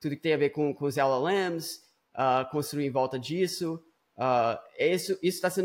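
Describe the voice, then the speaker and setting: His pitch moves up and down in an ordinary way. The voice belongs to a man. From Brazil, Espírito Santo; US from about age 8-9. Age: 30s. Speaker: startup founder and CEO. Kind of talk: casual chat. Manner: hesitant, frequent fillers and repetitions.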